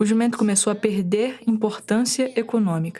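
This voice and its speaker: Over noticeable background noise, a woman with a Bahian accent speaks at a moderate pace with fairly even intonation. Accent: Bahian northeastern Brazilian. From Brazil, Bahia interior (Chapada Diamantina). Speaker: podcast producer/reporter. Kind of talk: scripted narration.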